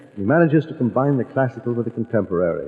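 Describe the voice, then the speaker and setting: Noticeable background noise sits behind the voice. A man speaks with ordinary pitch variation. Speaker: radio announcer. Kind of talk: radio program announcer introduction. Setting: vintage radio broadcast from a theater.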